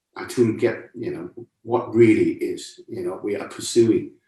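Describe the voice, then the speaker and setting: The speaker is a man with a Cantonese accent. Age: 60s. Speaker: martial arts and meditation teacher. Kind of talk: lecture. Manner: conversational, with repeated rhetorical questions.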